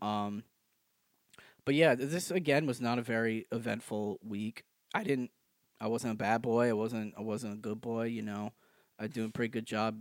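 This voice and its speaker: Medium in pitch, a man speaks at a moderate pace with long, frequent pauses. The recording is very clean and dry, close with no echo and a silent background. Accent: American. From French Canadian background, US. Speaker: comedy podcast co-host. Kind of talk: casual chat. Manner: animated.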